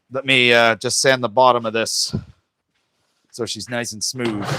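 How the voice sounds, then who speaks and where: A man with a Canadian accent speaks in a dry, close sound with no echo. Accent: Canadian, noticed by viewers. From Canada, Ontario. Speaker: woodworker streaming live. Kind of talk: casual live stream chat while woodturning. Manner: relaxed, halting with fillers.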